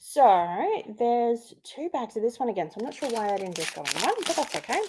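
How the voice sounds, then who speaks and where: A woman speaks at a moderate pace with a fairly high pitch and an Australian accent. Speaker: craft youtuber. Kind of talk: unboxing tutorial. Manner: animated.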